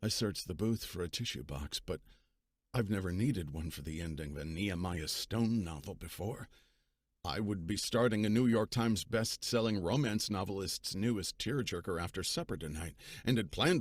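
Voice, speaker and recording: A man speaks at a moderate pace in a plain, everyday voice, his pitch fairly low. The recording is very clean, with a silent background. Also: lively intonation. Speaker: audiobook narrator. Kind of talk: audiobook narration.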